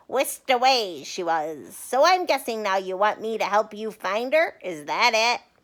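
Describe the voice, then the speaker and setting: A woman puts on a character voice, fairly high in pitch, at a moderate pace. She hardly pauses. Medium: read story. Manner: chatty, cheeky.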